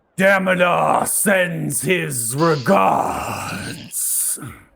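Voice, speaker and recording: A shouting man in a put-on character voice, high-pitched and raspy. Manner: screaming, booming.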